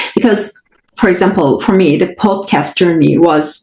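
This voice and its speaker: Music in the background behind a woman with a non-native accent, lively intonation and a fairly slow pace. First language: not English. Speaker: podcast host and spiritual coach. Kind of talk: solo podcast talk.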